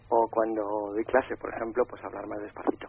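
A man talks at a fast pace with vocal fry. His voice carries a slightly husky edge.

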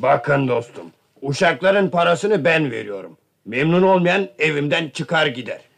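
Putting on a character voice, a man with a fairly high pitch, fairly bright tone and vocal fry speaks at a fairly slow pace with lively intonation.

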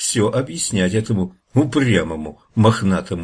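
Over a quiet background, plain reading aloud with lively intonation

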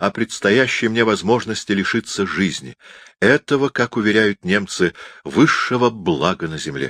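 A natural voice, reading aloud

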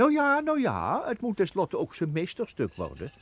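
A man uses a put-on character voice pitched high, with very wide pitch swings. He moves at a moderate pace, and his voice has a slightly husky edge.

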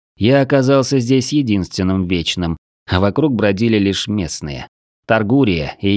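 Quiet background under a natural reading voice

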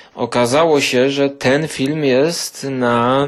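A man with a medium pitch speaks at a very slow pace in fairly even intonation. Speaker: film reviewer podcaster. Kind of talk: casual film review monologue.

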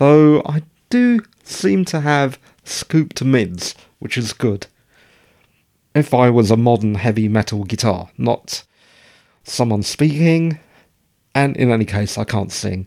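In a British accent, a man with a dark, mellow tone and medium pitch uses lively intonation. He moves at a fairly slow pace, leaving long, frequent pauses. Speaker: podcast host. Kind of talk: casual monologue. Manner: rambling, conversational.

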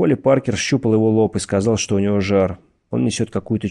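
Fairly even intonation and plain reading aloud, quiet in the background

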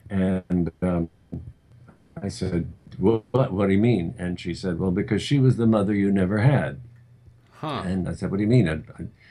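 With long, frequent pauses, a man speaks at a very slow pace in a fairly low pitch, with a dark, mellow tone and ordinary pitch variation. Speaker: screenwriter. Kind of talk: interview. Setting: remote call.

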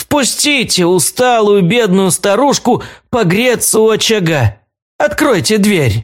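A man's high, shaky, put-on character voice at a fairly slow pace.

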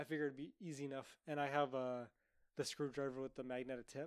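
This man talks very fast at a medium pitch, his intonation flat and monotone. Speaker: podcast co-host. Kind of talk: casual banter podcast chat. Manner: crude, sarcastic.

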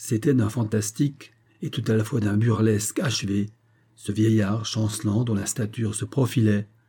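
A passage is read aloud in a natural voice.

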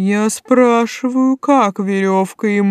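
Pitch shows ordinary variation. The delivery is a natural reading voice.

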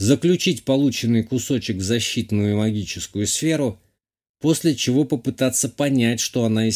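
A natural reading voice comes through, and the background is quiet.

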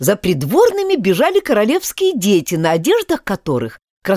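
An unforced voice reads the text. Behind it, things are quiet.

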